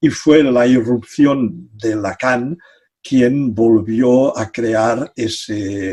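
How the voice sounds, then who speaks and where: A man's dark, mellow tone at a very slow pace, with fairly even intonation. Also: medium pitch for a man. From Catalonia. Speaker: psychology professor. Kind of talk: interview. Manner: halting.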